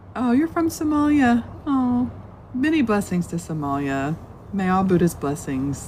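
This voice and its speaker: A woman speaks with an American accent at a moderate pace. Her pitch swings very widely over noticeable background noise. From US South. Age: 50s. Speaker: Buddhist teacher. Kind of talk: live-stream dharma talk. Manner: casual, rambling with fillers.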